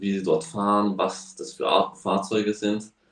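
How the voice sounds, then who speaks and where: A man speaks with a fairly low pitch. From Slovakia. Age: young. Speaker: racing driver. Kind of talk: casual interview. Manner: halting.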